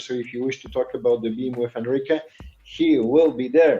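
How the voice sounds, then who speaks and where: With music in the background, a man speaks in a Polish accent at a medium pitch. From Poland. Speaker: podcast co-host. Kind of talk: casual chat.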